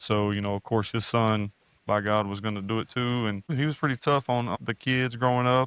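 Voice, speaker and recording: In an East Texas accent, a man speaks at a moderate pace with a medium pitch and fairly even intonation, captured in a very clean recording with a silent background and a dry, close sound with no echo. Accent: East Texas Southern US. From Northeast Texas, Sulphur Springs. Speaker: university program director. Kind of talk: testimony. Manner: halting, many fillers.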